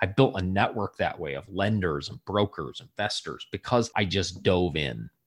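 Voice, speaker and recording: With an American accent and vocal fry, a man with a very deep, low voice talks with lively intonation, big swings in loudness, and hardly any pauses. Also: moderate pace. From US Midwest, southwest Michigan. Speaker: real estate investor and leadership speaker. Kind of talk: podcast interview. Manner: animated.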